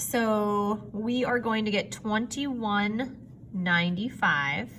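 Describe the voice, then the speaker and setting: A woman with a bright, sharp tone speaks very slowly at medium pitch with ordinary pitch variation, and audible room echo surrounds her voice. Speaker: math teacher. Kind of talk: recorded lesson for students.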